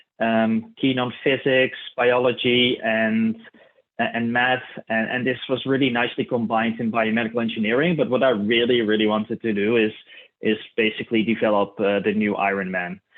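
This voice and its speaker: Here a man with a Dutch accent talks at medium pitch and a moderate pace. His intonation is fairly even, and his loudness is very even. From Netherlands, Tilburg area (south). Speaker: clinical research specialist. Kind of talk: keynote presentation. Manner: hesitant, many fillers.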